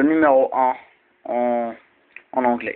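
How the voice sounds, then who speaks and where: A man talks at a very slow pace. His medium pitch stays monotone and flat. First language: Arabic (speaking French). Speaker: video blogger. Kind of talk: explainer talk. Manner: halting, many fillers and repeats.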